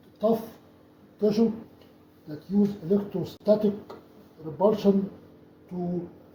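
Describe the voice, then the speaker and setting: Over noticeable background noise, a high-pitched man speaks at a very slow pace. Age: 70s. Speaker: doctor and athlete. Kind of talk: tutorial. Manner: halting.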